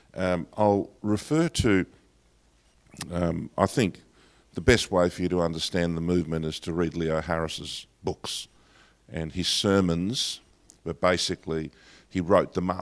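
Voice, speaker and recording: In an Australian accent, a man with a very deep, low voice talks at a fairly slow pace with long, frequent pauses and ordinary pitch variation, on a very clean recording with a silent background. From Australia, Greek heritage. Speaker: pastor. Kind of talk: lecture. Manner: hesitant, many fillers.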